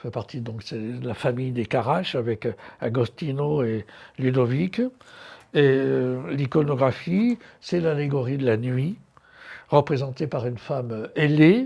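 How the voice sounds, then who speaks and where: A man's medium-pitched voice with a dark, mellow tone, fairly slow delivery, ordinary pitch movement, long and frequent pauses, and a quiet background. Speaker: art curator and lecturer. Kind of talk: lecture. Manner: hesitant, many fillers.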